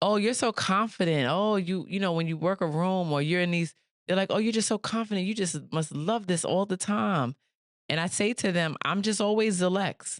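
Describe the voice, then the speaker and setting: With a Bronx accent, a woman speaks at a moderate pace with ordinary pitch variation and very even loudness against a quiet background. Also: medium pitch for a woman. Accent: New York, Bronx. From New York City, the Bronx. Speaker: podcast host. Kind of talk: interview conversation.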